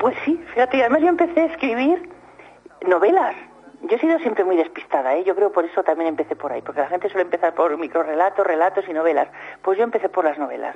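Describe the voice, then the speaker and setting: Very fast and with very wide pitch swings, a woman with a medium pitch talks against noticeable background noise. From Spain, Soria. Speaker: writer. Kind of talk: radio interview. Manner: halting.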